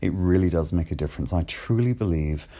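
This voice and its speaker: This man has a very deep, low pitch and a dark, mellow tone, with ordinary pitch variation on a very clean recording with a silent background. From Ireland, seaside village. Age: 40s. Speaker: LGBT podcaster. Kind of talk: personal testimony. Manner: hesitant, many fillers.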